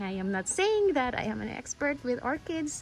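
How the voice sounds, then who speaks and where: A woman speaks with a Visayan Filipino accent. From Philippines, Bisaya-speaking region. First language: Bisaya (Cebuano). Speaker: orchid-growing YouTuber. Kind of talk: casual vlog tutorial. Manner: halting, self-correcting.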